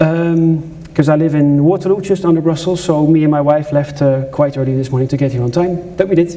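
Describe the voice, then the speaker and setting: Fairly high-pitched, a man talks at a fairly quick pace with hardly any pauses and fairly even intonation. Audible room echo and noticeable background noise are present. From Netherlands. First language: Dutch. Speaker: journalist and conference speaker. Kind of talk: conference talk. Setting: stage with audience.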